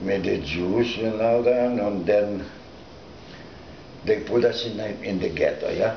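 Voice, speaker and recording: Over noticeable background noise and audible room echo, a man with a fairly low pitch talks at a fairly slow pace with long, frequent pauses. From Lithuania. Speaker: Holocaust survivor. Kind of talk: oral history interview. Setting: recorded interview. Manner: halting.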